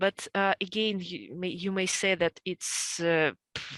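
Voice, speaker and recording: A woman with a Russian accent at a medium pitch and fairly slow pace, against a quiet background. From central Russia. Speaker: homesteader. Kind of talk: interview. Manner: halting, many fillers.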